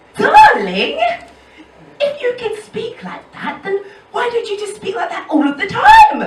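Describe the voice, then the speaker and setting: A woman talks at a fairly slow pace with an extremely high pitch, lively intonation and big swings in loudness. Noticeable background noise and audible room echo surround her. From Edinburgh, Scotland. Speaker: stand-up comedian. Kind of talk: stand-up. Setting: stage with audience.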